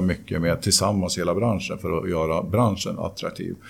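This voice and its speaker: Male voice, fairly quick pace, fairly even intonation. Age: 50s. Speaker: company CEO. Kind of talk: interview. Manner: halting.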